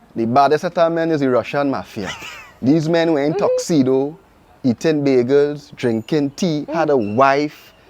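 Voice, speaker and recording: A man with a fairly high pitch talks at a fairly slow pace, his pitch varying in an ordinary way over noticeable background noise. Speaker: podcast host. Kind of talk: casual podcast conversation.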